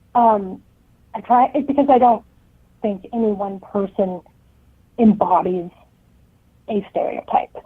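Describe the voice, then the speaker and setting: The speech goes at a fairly slow pace with ordinary pitch variation and long, frequent pauses. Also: woman, fairly high pitch for a woman. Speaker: author. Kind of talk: interview.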